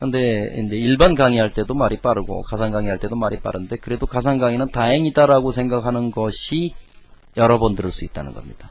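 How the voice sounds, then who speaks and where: This man talks at a fairly quick pace. His medium pitch shows ordinary variation. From Korea, Chungcheong region. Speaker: lecturer. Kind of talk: lecture. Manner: fast.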